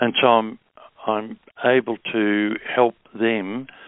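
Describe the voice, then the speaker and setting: With an Australian accent, a man talks in a fairly low pitch. His intonation is monotone and flat. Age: 70s. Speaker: naturopath. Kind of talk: interview. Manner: halting.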